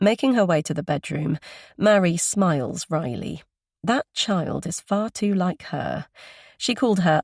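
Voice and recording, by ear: A natural voice reading aloud, with a quiet background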